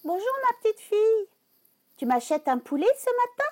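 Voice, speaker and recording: Using a squeaky put-on character voice, a woman speaks at an extremely high pitch with very wide pitch swings. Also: moderate pace. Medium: read story. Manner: honeyed when luring, snappish when thwarted.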